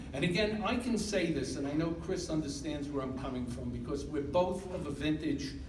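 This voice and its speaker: A man talks at a moderate pace with lively intonation. There is noticeable background noise. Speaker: retired engineering professor. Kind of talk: award introduction speech. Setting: public address at a graduation ceremony.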